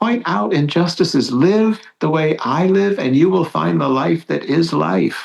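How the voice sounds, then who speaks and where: In an unremarkable speaking voice, a man talks at a fairly slow pace with fairly high pitch, lively intonation and hardly any pauses. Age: 60s. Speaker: priest. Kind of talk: casual chat.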